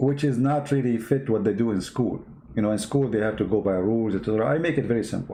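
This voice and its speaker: Through audible room echo, a man with a non-native accent speaks at a very fast pace in a dark, mellow tone, at a medium pitch with ordinary pitch variation and very even loudness. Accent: non-native English, limited. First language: Arabic. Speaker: online religious debater. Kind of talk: live stream talk answering chat. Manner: halting.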